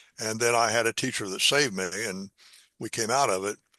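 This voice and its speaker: A man with a Midwestern American accent talks at a very fast pace and medium pitch, his tone bright and sharp. The sound is dry and close with no echo against a quiet background. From US Midwest, Indiana. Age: 80s+. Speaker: math educator. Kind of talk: interview.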